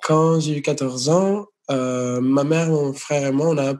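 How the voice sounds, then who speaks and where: With fairly even intonation, a man speaks very slowly at a fairly high pitch. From United States (born in Venezuela). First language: Spanish or English (speaking French). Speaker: singer. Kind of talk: interview. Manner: hesitant, repeats words.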